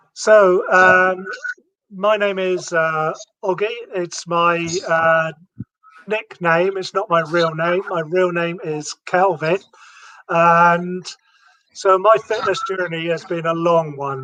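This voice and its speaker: A man with a British accent speaks at a high pitch in a bright, sharp tone, his intonation fairly even. He goes very slowly, with long, frequent pauses. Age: 50s. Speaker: retired navy veteran and fitness enthusiast. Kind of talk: interview.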